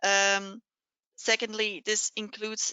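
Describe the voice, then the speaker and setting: A woman is talking. She uses a medium pitch. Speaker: lawyer presenting a webinar. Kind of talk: webinar presentation. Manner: hesitant, many filler sounds.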